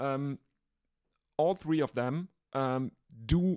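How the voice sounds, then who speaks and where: The woman speaks in a German accent with a very deep, low pitch and ordinary pitch variation. The sound is dry and close with no echo. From Germany. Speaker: podcast host. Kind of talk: solo podcast monologue. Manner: hesitant, many filler words.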